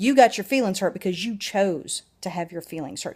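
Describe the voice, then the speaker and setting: An animated tone comes from a woman on a very clean recording with a silent background. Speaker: vlogger. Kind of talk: personal video blog.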